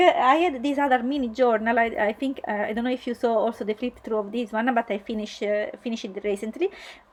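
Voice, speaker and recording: High-pitched and hardly pausing, a woman talks over noticeable background noise. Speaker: art journaling youtuber. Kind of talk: tutorial voiceover. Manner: halting, many fillers.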